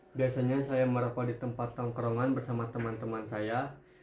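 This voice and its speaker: A man with a medium-pitched voice talks at a fairly quick pace. There is noticeable background noise and audible room echo. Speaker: interviewee, young smoker. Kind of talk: interview answers.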